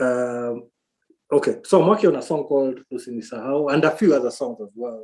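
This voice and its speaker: Big swings in loudness run through this man's fairly quick speech. His voice sits at medium pitch with ordinary pitch variation. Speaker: musician. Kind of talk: interview. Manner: halting, many fillers.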